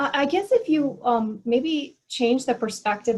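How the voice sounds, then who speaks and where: A woman's voice comes across as somewhat breathy. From US, Korean American. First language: Korean. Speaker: theologian and mission speaker. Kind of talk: video call panel discussion.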